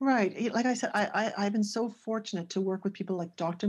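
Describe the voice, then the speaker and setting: A woman with an unremarkable speaking voice, medium pitch, ordinary pitch variation and moderate pace, over a quiet background. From Canada, near Toronto. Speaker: ESL teacher and teacher trainer. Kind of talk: casual interview.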